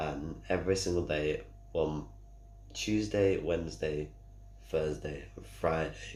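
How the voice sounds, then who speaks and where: Speaking in a Manchester accent at a very slow pace with long, frequent pauses, a man's somewhat breathy voice makes very wide pitch swings amid audible room echo. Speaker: gamer streamer. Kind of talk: casual vlog update. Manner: halting.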